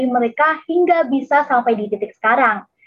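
A woman talks at a fairly quick pace in a high pitch. Her pitch varies in an ordinary way. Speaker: student MC. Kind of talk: event MC; read-out promo.

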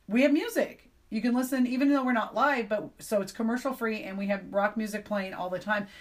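Somewhat breathy, this woman's voice is pitched fairly high. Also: ordinary pitch variation, fairly quick pace, hardly any pauses. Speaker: radio DJ and station owner. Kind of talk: interview.

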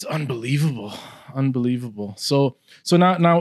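A man with a plain, everyday voice at medium pitch and ordinary pitch variation is heard dry and close with no echo, on a very clean recording with a silent background. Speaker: podcast host. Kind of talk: casual interview chat.

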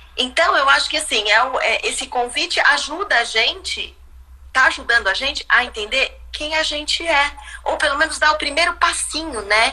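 A woman's raised, projected voice, high in pitch with lively intonation, over noticeable background noise. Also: moderate pace. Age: 50s. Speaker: visual artist and art educator. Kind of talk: casual chat. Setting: live video stream from home.

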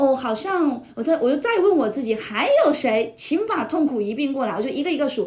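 A woman's voice with very wide pitch swings. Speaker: podcast guest, teacher colleague of host. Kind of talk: casual chat. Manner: animated.

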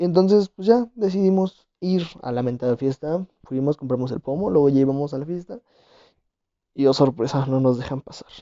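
In an ordinary speaking voice, a man talks with a fairly high pitch, lively intonation and big swings in loudness. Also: moderate pace. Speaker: podcast host. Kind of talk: casual chat.

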